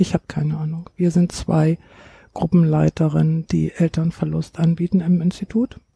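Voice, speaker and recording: Recorded with a dry, close sound and no echo, a woman with an unremarkable speaking voice and fairly low pitch speaks at a moderate pace. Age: 60s. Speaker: grief counselor. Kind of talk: interview.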